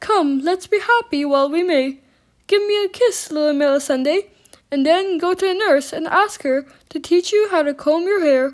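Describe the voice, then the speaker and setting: Using a put-on character voice, a woman pushes her pitch extremely high. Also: moderate pace. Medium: read story.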